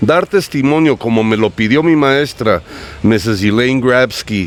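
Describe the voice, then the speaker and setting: A man with an English accent at medium pitch, lively intonation, very even loudness and a fairly slow pace, with noticeable background noise. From United States. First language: English (speaking Spanish). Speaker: writer and bookseller. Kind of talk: interview. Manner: animated.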